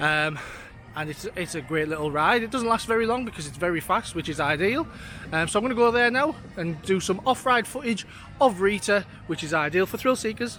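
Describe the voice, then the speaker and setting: With a raised, projected voice and lively intonation, a man speaks at a moderate pace. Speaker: vlogger for a coach trip operator. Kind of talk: travel vlog walkthrough. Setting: outdoors at a theme park. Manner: casual with many fillers; shouting.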